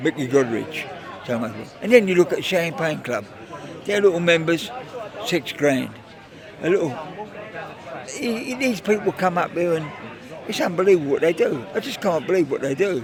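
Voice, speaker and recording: With crowd noise in the background, a man speaks at a moderate pace in a high voice that makes very wide pitch swings. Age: 80s+. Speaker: charity golf day organiser. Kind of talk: casual interview. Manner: animated.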